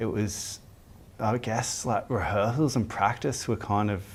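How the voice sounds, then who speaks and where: A man with an Australian accent, fairly low pitch, and a fairly slow pace. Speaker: band member. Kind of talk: interview.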